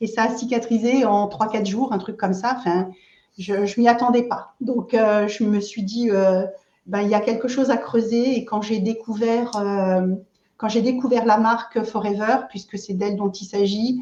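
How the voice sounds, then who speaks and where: A woman speaks slowly-ish in a fairly high, dark, mellow voice. Her intonation stays monotone and flat. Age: 60s. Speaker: aloe vera product seller, entrepreneur. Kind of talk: interview, casual chat. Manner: hesitant, many fillers.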